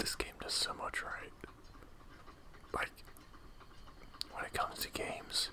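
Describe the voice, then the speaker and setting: Whispering at a fairly slow pace with long, frequent pauses, the voice comes through noticeable background noise. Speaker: ASMR gaming channel host. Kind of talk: gameplay commentary. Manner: whispered.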